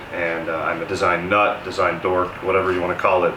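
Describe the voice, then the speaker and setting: A man with an American accent, very deep and low in pitch, at a fairly quick pace, with audible room echo and noticeable background noise. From Denver, Colorado, US. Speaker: real estate developer. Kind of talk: interview. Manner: hesitant with fillers.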